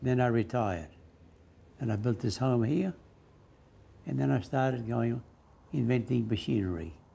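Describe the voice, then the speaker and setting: A man with an Australian accent speaks in a dark, mellow, somewhat breathy tone with lively intonation and long, frequent pauses. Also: moderate pace. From North Queensland, Australia. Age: 80s+. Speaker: retired cane farmer and backyard inventor. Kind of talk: interview answer.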